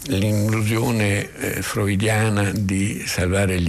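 Noticeable background noise sits behind the voice. A man speaks very slowly at a fairly low pitch. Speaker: film critic. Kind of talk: scripted narration.

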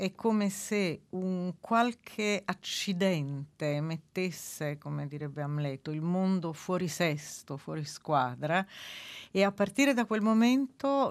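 Against a quiet background, a woman with a medium pitch and lively intonation speaks at a very slow pace. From Naples, southern Italy. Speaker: book editor and translation reviser. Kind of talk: radio interview. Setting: radio studio.

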